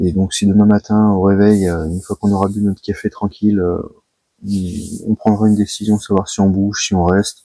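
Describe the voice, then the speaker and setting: A soft-spoken man talks at a moderate pace and a fairly low pitch, his tone dark and mellow. His intonation is monotone and flat, and the sound is dry and close with no echo. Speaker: carp angler, channel host. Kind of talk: vlog to camera. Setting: outdoors by a river at night. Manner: soft-spoken, quiet.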